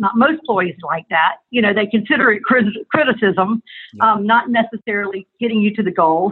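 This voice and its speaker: A woman's ordinary speaking voice, fairly high in pitch, at a moderate pace. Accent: American. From US South. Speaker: advertising agency owner. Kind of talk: interview. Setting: phone call.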